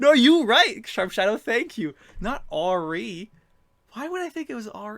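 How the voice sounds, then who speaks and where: Very wide pitch swings and a bright, sharp tone mark a man's raised, projected voice. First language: not English. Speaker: video game streamer. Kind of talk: live gameplay stream commentary. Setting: live stream with chat. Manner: halting.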